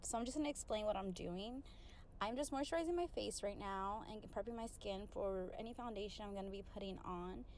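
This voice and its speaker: There is audible room echo around a woman talking at a fairly quick pace. Her pitch is fairly high and her intonation lively. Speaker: beauty vlogger and surgical tech. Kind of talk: casual tutorial voiceover. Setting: home bathroom. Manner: casual, conversational. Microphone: poor audio quality at the beginning.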